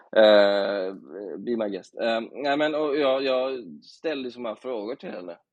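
An ordinary speaking voice from a man, medium in pitch, at a fairly slow pace with ordinary pitch variation. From Bohuslän, Sweden. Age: 30s. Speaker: journalist. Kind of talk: casual chat.

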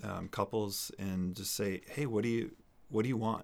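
On a very clean recording with a silent background, a man with an American accent talks at a moderate pace in a fairly low pitch. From New Hampshire, US. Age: 30s. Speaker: financial advisor. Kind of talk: interview.

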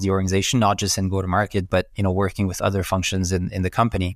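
A man talks with a French Canadian accent at a fairly low pitch. The recording is very clean, the background silent. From Quebec, Montreal. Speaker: company president. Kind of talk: business interview.

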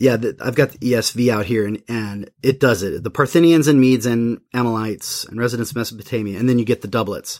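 Pitch moves in an ordinary way. The delivery comes at a fairly quick pace. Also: man. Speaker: seminary professor and podcast host. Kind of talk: casual theological discussion. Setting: studio. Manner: loud.

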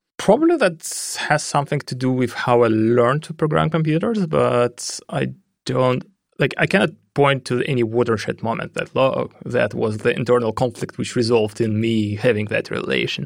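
Here a man speaks with a Russian accent at medium pitch. His intonation is lively and his pace moderate. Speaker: head of security at a blockchain company. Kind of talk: interview.

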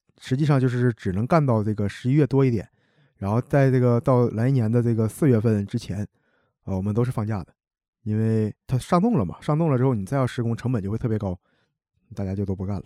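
In a Northeastern Chinese accent, a man talks at a very fast pace and medium pitch with ordinary pitch variation, the sound dry and close with no echo on a very clean recording with a silent background. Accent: Northeastern Mandarin. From Heilongjiang, Hegang (Northeast China). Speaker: construction materials worker. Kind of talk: casual chat.

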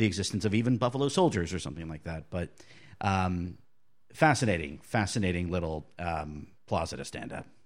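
This man has a normal speaking voice, talking at a fairly quick pace with lively intonation. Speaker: podcast guest. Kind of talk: casual chat.

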